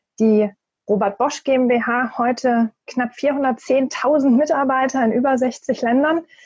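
A woman speaks with a high-pitched voice. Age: 40s. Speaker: corporate networking and new work expert. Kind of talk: podcast interview.

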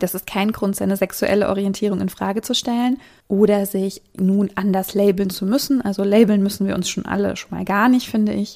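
Monotone, flat delivery from a woman at a medium pitch, with a dark, mellow tone, a fairly quick pace and hardly any pauses. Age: 30s. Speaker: podcast host. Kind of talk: casual chat.

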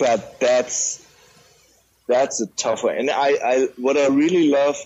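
A man with a German accent and ordinary pitch variation. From Germany. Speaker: music podcaster. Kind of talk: casual chat.

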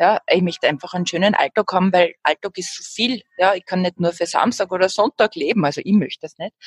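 An ordinary speaking voice from a woman at medium pitch, at a fairly quick pace with hardly any pauses and ordinary pitch variation, in a dry, close sound with no echo. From Upper Austria. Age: 40s. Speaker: jazz singing teacher and musician. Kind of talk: casual interview.

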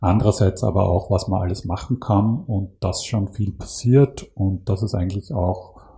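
A man's very deep, low voice, somewhat breathy, with ordinary pitch variation. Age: 50s. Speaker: climate initiative program manager. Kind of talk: interview. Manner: halting.

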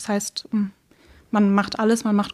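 A woman is heard in a very clean recording over a silent background. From Schleswig-Holstein, Baltic coast, Germany. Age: 20s. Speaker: editor and book blogger. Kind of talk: casual interview. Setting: in-person studio room.

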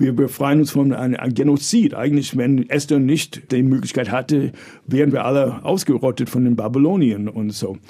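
Speaking with an American accent, a man has a medium pitch and a dark, mellow tone. He keeps a moderate pace with ordinary pitch variation. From US, New York. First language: English (speaking German). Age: 60s. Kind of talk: interview. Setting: studio.

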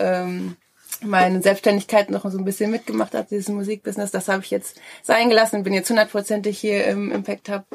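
Her medium pitch, ordinary pitch variation and fairly quick pace shape the woman's delivery. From Ruhr area, Germany (Schwerte). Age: 30s. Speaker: co-founder of a coworking hub. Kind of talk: interview. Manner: hesitant, many fillers.

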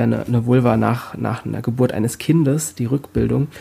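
Somewhat breathy, a man talks at a moderate pace and a medium pitch with ordinary pitch variation. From Rhein-Main area, Germany. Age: 40s. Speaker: body art artist. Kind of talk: interview. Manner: halting, many fillers.

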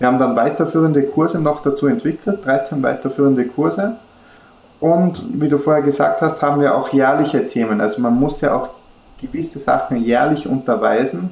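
Lively intonation with an Austrian accent at a moderate pace, loudness very even, over noticeable background noise. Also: man, fairly high pitch for a man. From Austria, Kufstein area near German border. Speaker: e-learning company founder. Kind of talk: interview.

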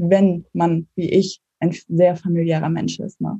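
A woman speaks in a somewhat breathy voice with a dark, mellow tone, recorded dry and close with no echo. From northern Germany, Mecklenburg. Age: 20s. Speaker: startup founder. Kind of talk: interview. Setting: video call.

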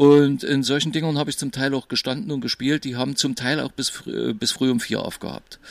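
A man talks fairly quickly in a plain, everyday voice. His pitch is fairly high, with ordinary variation. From East Germany. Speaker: DJ. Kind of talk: casual chat.

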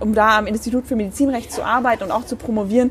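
A woman talks at a very fast pace with fairly high pitch and fairly even intonation. Noticeable background noise runs behind her. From Bremen, Germany. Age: 20s. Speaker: young politician, youth party chairperson. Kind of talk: casual interview.

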